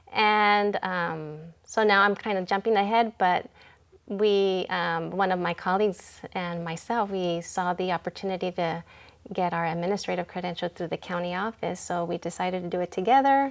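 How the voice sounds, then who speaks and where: With a Californian accent, a woman talks at medium pitch with fairly even intonation on a very clean recording with a silent background. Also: moderate pace. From California Central Coast, Santa Maria area. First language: Spanish (bilingual from childhood). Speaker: elementary school principal. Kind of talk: interview.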